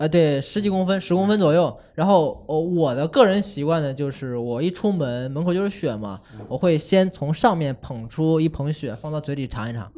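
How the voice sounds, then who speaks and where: Speaking at a moderate pace with hardly any pauses, a man uses a fairly high pitch, lively intonation and a dark, mellow tone. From Henan, China. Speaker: podcast host. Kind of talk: casual chat.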